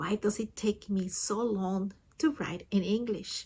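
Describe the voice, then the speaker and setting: With a non-native accent, a woman speaks in a somewhat breathy voice at a medium pitch. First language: not English. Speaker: communication support partner. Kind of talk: scripted personal reflection.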